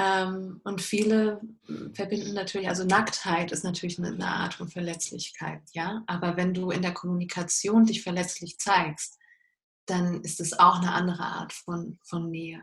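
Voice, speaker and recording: This woman talks at a moderate pace in a medium pitch, her intonation monotone and flat. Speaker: life coach. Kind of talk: interview. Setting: video call.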